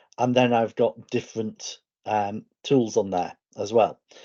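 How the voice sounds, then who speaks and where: A man with a slight northern English accent speaks in a medium pitch. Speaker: educator. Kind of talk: online presentation.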